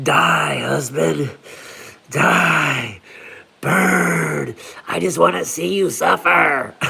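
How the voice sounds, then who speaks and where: Soft-spoken and raspy, a man uses a put-on character voice with a very deep, low pitch at a very slow pace. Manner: evil, malicious.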